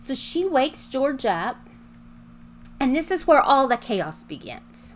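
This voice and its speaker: With music in the background, a woman speaks in a raised, projected voice. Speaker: podcast host. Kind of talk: true-crime narration. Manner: measured, suspenseful storyteller pacing, conversational.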